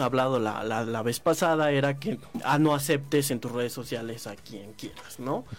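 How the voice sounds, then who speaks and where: Over noticeable background noise, a man with a Mexican accent talks at a moderate pace with hardly any pauses, his fairly high voice showing ordinary pitch variation. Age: 30s. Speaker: online community manager. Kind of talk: casual chat.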